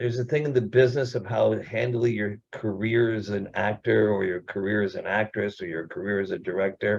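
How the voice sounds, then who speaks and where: This man has a normal speaking voice, fairly low in pitch, delivered at a fairly quick pace with fairly even intonation and hardly any pauses. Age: 60s. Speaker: actor and producer. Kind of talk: casual chat.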